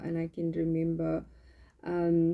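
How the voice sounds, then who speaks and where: A woman's fairly low pitch with a dark, mellow tone. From South Africa, Eldorado Park (Johannesburg area). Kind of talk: testimony. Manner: halting, many fillers.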